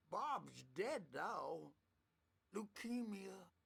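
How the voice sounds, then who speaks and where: A put-on character voice at a fairly high pitch. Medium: video game. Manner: rambling, cackling.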